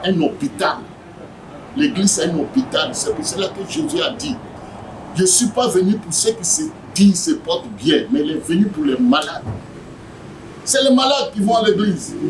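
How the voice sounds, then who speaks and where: Noticeable background noise sits behind a man with a high pitch and very wide pitch swings. He speaks at a fairly slow pace with long, frequent pauses. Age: 70s. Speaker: evangelist. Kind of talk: interview. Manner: animated.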